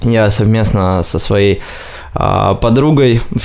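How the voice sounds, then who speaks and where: A man talks at a medium pitch as noticeable noise runs behind him. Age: 20s. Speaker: marketing agency director. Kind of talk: interview.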